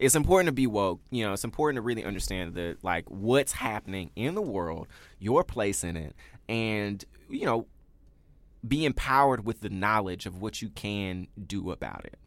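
On a very clean recording with a silent background, a man with an unremarkable speaking voice and an American accent speaks at a moderate pace, fairly low in pitch and with lively intonation. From US South, Memphis, Tennessee. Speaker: podcast co-host. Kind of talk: casual chat. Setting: studio.

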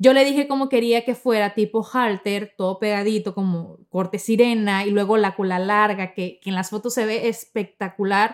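A woman's plain, everyday voice at medium pitch, moderate in pace with fairly even intonation and hardly any pauses. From Mexico, Sonora. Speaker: podcast host. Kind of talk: personal storytelling monologue.

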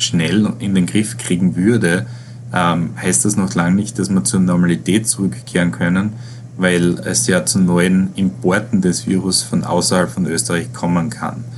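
Through noticeable background noise and audible room echo, a man speaks at a fairly slow pace in a very deep, low pitch with very wide pitch swings. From Austria, Styria. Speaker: virologist and professor. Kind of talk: interview. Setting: online interview. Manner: hesitant, many filler sounds. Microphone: poor sound quality.

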